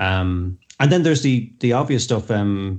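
At a fairly quick pace, a man with an Irish accent speaks at a fairly low pitch. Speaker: co-host. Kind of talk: casual chat.

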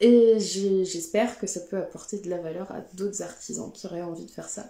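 Noticeable background noise sits under the voice. The pace is moderate and the intonation fairly even. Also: woman. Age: 30s. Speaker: textile craft maker. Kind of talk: live stream talk. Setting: Instagram/Facebook live. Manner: hesitant, many fillers.

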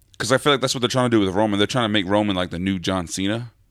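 In an American accent, a man speaks at a very fast pace with an animated tone, fairly low pitch and ordinary pitch variation, on a very clean recording with a silent background. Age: 20s. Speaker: podcast host. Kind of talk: casual banter. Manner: animated, joking.

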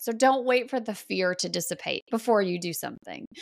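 A woman speaks with vocal fry at a fairly high pitch, her pitch variation ordinary and the sound dry and close with no echo. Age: 40s. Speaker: sober mom podcaster and content creator. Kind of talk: interview about personal recovery story.

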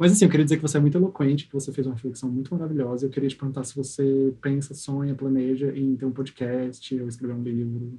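At a very fast pace with hardly any pauses, a man talks at a medium pitch in a dark, mellow, somewhat breathy tone with fairly even intonation. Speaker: podcast host. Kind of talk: casual chat.

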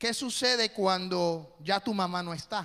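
Projecting his voice, a man speaks very slowly with a high pitch, lively intonation and a bright, sharp tone. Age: 40s. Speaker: pastor. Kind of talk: sermon. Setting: church.

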